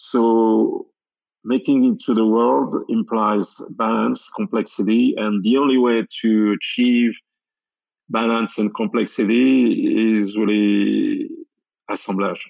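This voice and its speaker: A man with a French accent, a very slow pace and very even loudness. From France, Champagne region. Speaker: sake brewer, former champagne cellar master. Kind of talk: interview.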